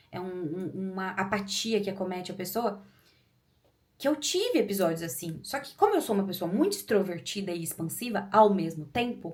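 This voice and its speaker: An animated, somewhat breathy voice with big swings in loudness. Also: woman, medium pitch for a woman, ordinary pitch variation. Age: 30s. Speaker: YouTuber. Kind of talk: personal testimony. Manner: fast.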